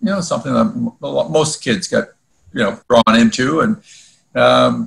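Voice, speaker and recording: Speaking at a moderate pace, a man talks with an Ontario accent. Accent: Canadian (Ontario). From Ontario, Canada (Woodbridge, near Toronto). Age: 60s. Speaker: former hockey goalie. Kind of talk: podcast interview. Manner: hesitant, many fillers.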